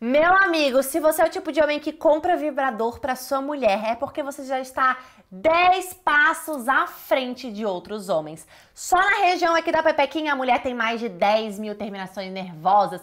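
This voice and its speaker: A woman's high voice with very wide pitch swings, at a moderate pace over a quiet background. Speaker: sex coach selling online course. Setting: online video, direct to camera. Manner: pushy, hype-driven salesman tone, direct and confiding; casual colloquial, urgent call to action. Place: home room.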